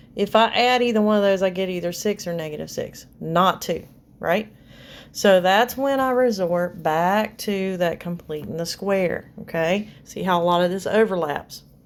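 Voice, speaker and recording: With a normal speaking voice, a woman talks at a moderate pace, medium pitch and ordinary pitch variation on a very clean recording with a silent background. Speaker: math teacher. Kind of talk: tutorial.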